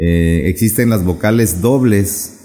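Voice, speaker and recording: Dark, mellow tone from a man, his pitch varying in an ordinary way. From Ixtepec, Oaxaca, Isthmus of Tehuantepec, Mexico. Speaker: teacher of Zapotec. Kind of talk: interview. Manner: halting.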